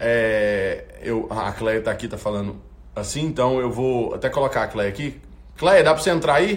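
Noticeable background noise sits behind the voice. A man speaks in an animated tone at a moderate pace. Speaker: youth worship livestream host. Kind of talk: livestream prayer vigil chat. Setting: online livestream.

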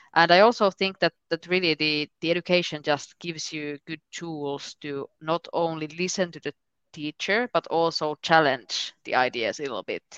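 A woman with a Finnish accent speaks at a fairly slow pace in a very deep, low voice with ordinary pitch variation. The sound is dry and close with no echo, over a quiet background. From Finland. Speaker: member of European Parliament. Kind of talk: casual interview.

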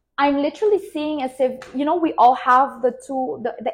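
A woman speaks with lively intonation. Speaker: business coach and tarot reader. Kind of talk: live-streamed tarot reading. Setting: livestream with chat, wireless microphone. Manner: animated.

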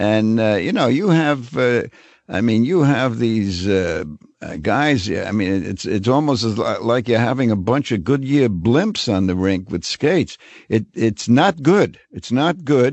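A man with a New York accent speaks at medium pitch and a fairly slow pace, his intonation lively. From New York, Brooklyn. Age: 80s+. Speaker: hockey writer and commentator. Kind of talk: interview. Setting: studio.

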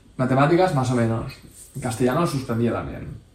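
There is audible room echo around this man's voice. He speaks at a medium pitch with ordinary pitch variation. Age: 30s. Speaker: entrepreneur and amateur rally racer. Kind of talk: interview.

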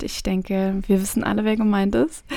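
The woman's pace is fairly quick. Her pitch sits fairly high. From Germany, Trier region near Luxembourg. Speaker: podcast host and make-up artist. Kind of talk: casual monologue. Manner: enthusiastic.

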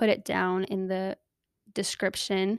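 A woman with an American accent talks at a moderate pace in a medium pitch. The sound is dry and close with no echo, and the recording is very clean with a silent background. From Southern California. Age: 20s. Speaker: podcast host, nursing student. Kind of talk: casual solo monologue. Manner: animated.

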